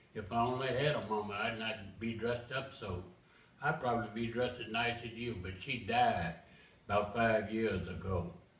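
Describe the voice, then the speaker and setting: This man speaks with an American accent at medium pitch and a moderate pace. His pitch variation is ordinary, and there is noticeable background noise. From Memphis, Tennessee. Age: 80s+. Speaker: author. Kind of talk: poetry reading.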